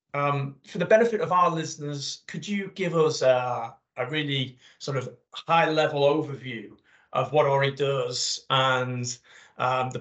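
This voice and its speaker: With ordinary pitch variation and a fairly high pitch, a man speaks in a plain, everyday voice. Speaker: podcast host. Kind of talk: interview conversation.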